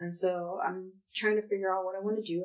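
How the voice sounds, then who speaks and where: A woman's medium-pitched voice with an American accent, ordinary pitch variation and a moderate pace. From US Northeast, West Philadelphia. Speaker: paralegal. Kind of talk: casual interview.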